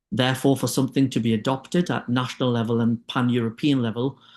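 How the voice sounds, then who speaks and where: A man with a British accent speaks at a fairly quick pace in a medium pitch, his intonation fairly even against a quiet background. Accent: UK. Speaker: clinician and diabetes expert. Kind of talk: webinar presentation.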